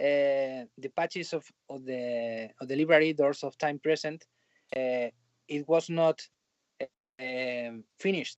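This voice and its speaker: Someone with a Spanish accent speaks at a fairly slow pace, leaving long, frequent pauses. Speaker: film and TV composer. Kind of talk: interview. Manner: halting.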